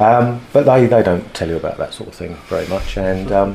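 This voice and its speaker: A man with a British accent and ordinary pitch variation, against noticeable background noise. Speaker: former soldier, martial arts instructor. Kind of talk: casual chat. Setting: studio.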